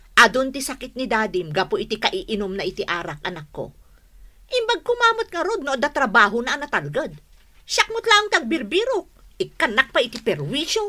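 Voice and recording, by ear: A woman's put-on character voice, bright and sharp in tone, fairly high in pitch, with big pitch swings at a moderate pace.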